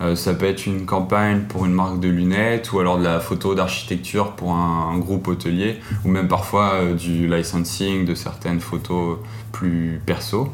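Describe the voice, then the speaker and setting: A man with a very deep, low voice speaks in a fairly even tone, with audible room echo and noticeable background noise. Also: moderate pace. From France, Auvergne. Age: 20s. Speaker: photographer. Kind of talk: interview monologue. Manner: hesitant, with fillers.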